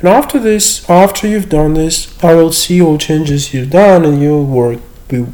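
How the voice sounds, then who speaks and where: Lively intonation and a dark, mellow tone mark this voice in a Russian accent. The pace is moderate. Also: man. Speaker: university lecturer. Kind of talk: screen-share tutorial. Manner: hesitant with fillers.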